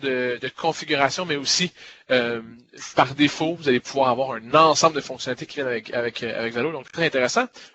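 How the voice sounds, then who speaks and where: This man's voice sits fairly high. His intonation stays fairly even. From Quebec, Montreal. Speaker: software product evangelist. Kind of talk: webinar product presentation. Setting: online webinar. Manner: many hesitations and filler words.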